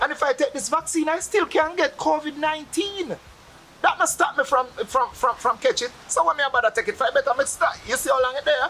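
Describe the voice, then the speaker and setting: The speaker talks at a fairly quick pace with a Jamaican accent. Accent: Jamaican patois. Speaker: Rastafarian interviewee. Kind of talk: interview.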